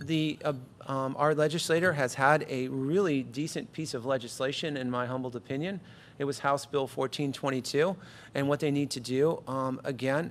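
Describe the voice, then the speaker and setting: Fairly high in pitch, this man speaks with fairly even intonation. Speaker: school administrator. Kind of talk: budget presentation at board meeting. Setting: school board meeting, live stream. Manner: fast.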